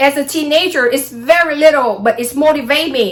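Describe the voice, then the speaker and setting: Over noticeable background noise, a woman uses a raised, projected voice at a high pitch with ordinary pitch variation. She speaks at a moderate pace with a Vietnamese accent. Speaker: astrology vlogger. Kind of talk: casual monologue vlog.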